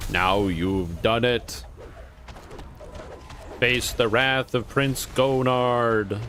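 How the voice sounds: A man puts on a character voice at a medium pitch, speaking very slowly with long, frequent pauses as background noise comes through clearly.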